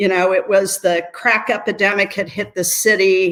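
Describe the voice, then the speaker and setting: Here a woman speaks at a medium pitch. Her pace is fairly slow. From US Midwest, Appalachian Ohio. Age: 60s. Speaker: nonprofit CEO and lawyer. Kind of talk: interview.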